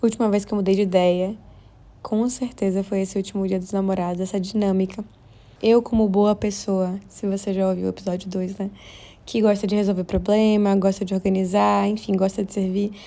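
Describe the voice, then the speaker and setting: In a very clean recording with a silent background, a woman at medium pitch talks fairly quickly in a dark, mellow tone with monotone, flat intonation. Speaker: podcast host. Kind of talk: casual monologue. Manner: fast.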